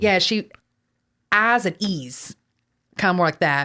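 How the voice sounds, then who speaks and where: In a slight Southern US accent, a woman speaks at a fairly slow pace and medium pitch with lively intonation. Her loudness stays very even on a very clean recording with a silent background. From Texas. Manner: casual, chatty storyteller.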